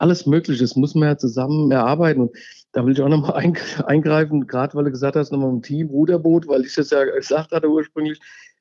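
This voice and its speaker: Monotone and flat, a man's speech rushes along at a very fast pace. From Hesse, Germany (Wallau near Hofheim am Taunus). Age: 50s. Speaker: local election candidate. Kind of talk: interview. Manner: halting, many fillers.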